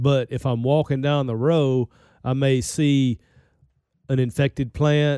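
A man's fairly high voice, dark and mellow, at a fairly slow pace with fairly even intonation, dry and close with no echo. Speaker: podcast host, extension weed scientist. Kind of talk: casual conversational interview. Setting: studio. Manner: joking, bantering.

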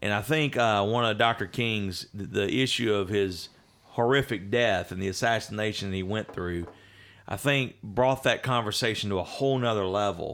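This man's voice is fairly low-pitched, with ordinary pitch variation. His pace is moderate. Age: 40s. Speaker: pastor and podcast host. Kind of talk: casual chat.

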